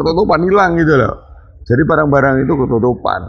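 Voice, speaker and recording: Music plays in the background as a man with fairly high pitch speaks, audible room echo around him. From Banyuwangi, East Java (Osing area). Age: 50s. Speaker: local party chairman. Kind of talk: interview. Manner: somewhat loud, hard-toned speech.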